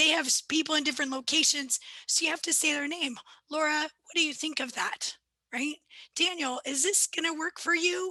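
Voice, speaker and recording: A woman projects a raised voice with a bright, sharp tone. Her moderate pace and fairly even intonation come through a dry, close sound with no echo. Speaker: lawyer presenting a training webinar. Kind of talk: webinar presentation. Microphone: laptop mic.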